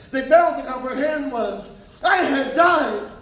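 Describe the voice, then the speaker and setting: An intense man at an extremely high pitch, moderately paced with ordinary pitch variation, over noticeable background noise. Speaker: spoken word poet. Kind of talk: poetry slam performance. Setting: live event. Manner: emotional, intense.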